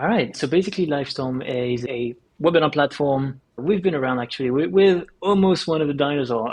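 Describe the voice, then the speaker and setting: A man speaks with a French accent in a fairly high pitch. His pace is fairly quick, with ordinary pitch variation. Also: hardly any pauses. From France. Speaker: startup co-founder and CEO. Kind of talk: podcast interview.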